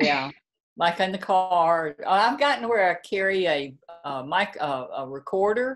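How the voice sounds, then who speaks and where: Speaking at a fairly slow pace with a Southern US accent, a woman uses a medium pitch with very wide pitch swings. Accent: Southern drawl. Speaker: novelist. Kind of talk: interview.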